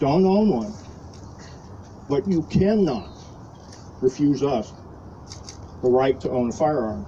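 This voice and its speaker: With a dark, mellow tone, a man speaks in a somewhat breathy voice with ordinary pitch variation. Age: 60s. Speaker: retired army officer speaking at a rally. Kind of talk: impromptu rally speech.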